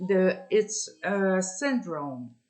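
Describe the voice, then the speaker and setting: A woman is speaking. She has a French Canadian accent. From Ontario, Canada (francophone). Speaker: vlogger. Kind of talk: personal testimony. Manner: halting, many fillers.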